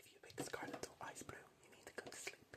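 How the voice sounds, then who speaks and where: Whispering at a fairly quick pace, the speaker is heard over noticeable background noise. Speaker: ASMR creator. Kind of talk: ASMR whispering game video. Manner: whispered, repetitive.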